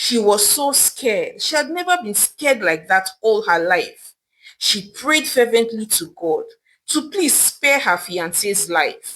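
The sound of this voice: A woman speaks slowly with big pitch swings. Her voice sits at a medium pitch and has a fairly bright tone.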